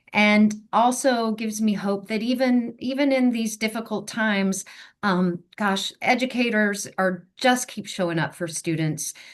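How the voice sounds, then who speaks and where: Her fairly high-pitched voice is an unremarkable speaking voice, and this woman moves at a fairly slow pace with hardly any pauses. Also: ordinary pitch variation, quiet background. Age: 60s. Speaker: education advocate. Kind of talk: panel discussion.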